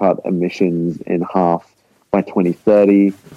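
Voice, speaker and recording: A man talks in a very deep, low voice, his intonation fairly even. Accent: Australian. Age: 20s. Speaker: rock musician. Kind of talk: casual interview.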